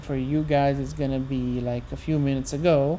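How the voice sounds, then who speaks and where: With an Italian accent, a woman with a dark, mellow tone speaks at a moderate pace with fairly even intonation. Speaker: livestreamer working on translations of ancient poetry. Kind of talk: long unscripted solo livestream, thinking aloud. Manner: halting, frequent self-corrections; switches between English and Italian.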